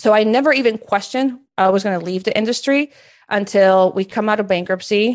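In a Spanish accent, a woman with a fairly high pitch speaks at a fairly quick pace with ordinary pitch variation against a quiet background. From Peru. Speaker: career coach and entrepreneur. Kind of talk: podcast interview.

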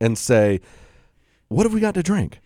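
A man speaks in a dark, mellow tone with very wide pitch swings. The sound is dry and close with no echo, a very clean recording with a silent background. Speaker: radio host. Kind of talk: comedic radio banter with wine tasting. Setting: radio studio. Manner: joking, laughs often.

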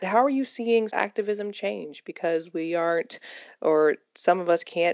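A woman speaks in a plain, everyday voice at a medium pitch. Her pace is moderate and her intonation lively. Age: 20s. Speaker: podcast co-host. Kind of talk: casual chat.

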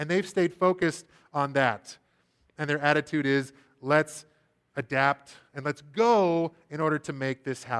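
A fairly high-pitched man at a fairly slow pace, with ordinary pitch variation, long, frequent pauses and a dry, close sound with no echo. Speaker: preaching minister. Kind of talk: sermon. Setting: church. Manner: loud.

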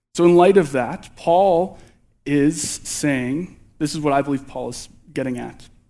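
With a Canadian accent, a man speaks in a plain, everyday voice at a fairly high pitch, with ordinary pitch variation. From Alberta, Canada. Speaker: candidate youth pastor. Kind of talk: sermon. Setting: church.

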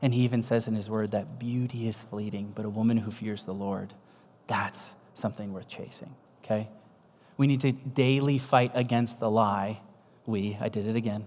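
A man with a plain, everyday voice, medium pitch and fairly even intonation. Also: moderate pace. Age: 50s. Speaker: pastor. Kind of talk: sermon.

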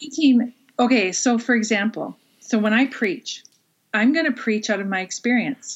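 A woman talks in an unremarkable speaking voice at a fairly high pitch. Her pitch variation is ordinary and her pace moderate. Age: 40s. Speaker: pastor. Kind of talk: interview. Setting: video call.

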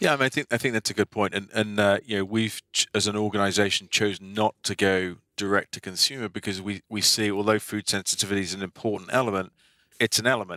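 The tone is bright and sharp, with fairly even intonation at a very fast pace. The sound is dry and close with no echo, on a very clean recording with a silent background. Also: man. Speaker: company CEO, diagnostics lab. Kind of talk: interview, casual conversation.

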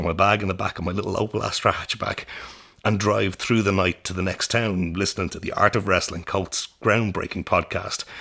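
A man with an Irish accent, very deep and low in pitch, bright and sharp in tone, fairly even in intonation and fairly quick in pace. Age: 30s. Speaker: podcast host and theatre director. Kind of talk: interview. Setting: studio.

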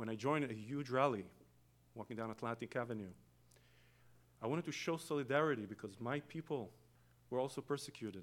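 A man with an Israeli accent talks very fast at a medium pitch with ordinary pitch variation. He takes long, frequent pauses. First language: Hebrew. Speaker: guest preacher. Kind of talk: sermon. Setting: church.

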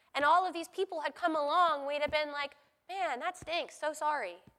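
A woman speaks in an extremely high pitch with a raised, projected voice. Her bright, sharp tone keeps fairly even intonation at a moderate pace. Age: 40s. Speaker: preacher. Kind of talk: sermon.

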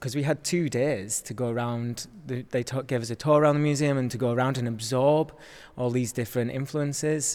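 A man with a Yorkshire accent, fairly quick in pace, with fairly even intonation. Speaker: dancer. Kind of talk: casual chat.

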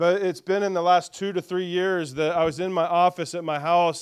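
Very clean recording, silent background. A man with an American accent speaks in a high voice. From central Indiana, US Midwest. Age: 40s. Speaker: pastor. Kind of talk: sermon. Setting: church service with congregation. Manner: casual, conversational with fillers and repetitions.

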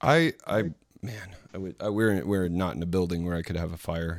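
Recorded very cleanly against a silent background, a man with an American accent speaks at a moderate pace with ordinary pitch variation. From Florida. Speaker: podcast co-host. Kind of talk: casual chat.

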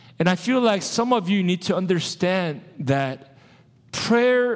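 A man with a high voice speaks in an animated tone with lively intonation. The recording is very clean, with a silent background. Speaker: pastor. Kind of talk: sermon. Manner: loud.

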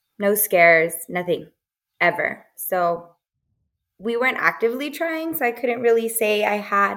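This is an ordinary speaking voice from a woman. Her pitch is medium and her pace is moderate. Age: 20s. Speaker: doula. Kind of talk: casual chat.

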